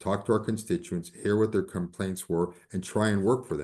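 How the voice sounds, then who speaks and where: Over a quiet background, a normal speaking voice moves at a fairly quick pace. The pitch varies in an ordinary way. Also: man. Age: 60s. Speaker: politician, party leadership candidate. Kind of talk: town hall Q&A answer.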